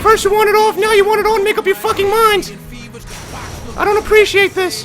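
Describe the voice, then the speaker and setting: The speech comes at a very fast pace, with music in the background. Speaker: video game streamer. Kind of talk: casual gaming commentary. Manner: excited, profane.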